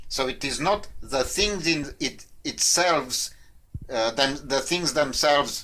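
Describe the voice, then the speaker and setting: A man with a non-native accent and a bright, sharp tone speaks at a very slow pace. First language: not English. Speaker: quit-smoking coach. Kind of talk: casual talk to camera. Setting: in front of a whiteboard. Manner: halting, with fillers.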